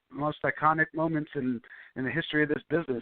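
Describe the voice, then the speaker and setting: A man with an unremarkable speaking voice talks at a fairly high pitch and a fairly quick pace, keeping his intonation fairly even. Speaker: ring announcer. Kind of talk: podcast interview answer.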